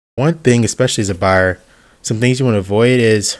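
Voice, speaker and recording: This man is soft-spoken, with a fairly low pitch. His pitch varies in an ordinary way. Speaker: YouTuber, sim racing hobbyist. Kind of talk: voiceover tutorial. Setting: voiceover over B-roll. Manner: casual, hesitant with fillers.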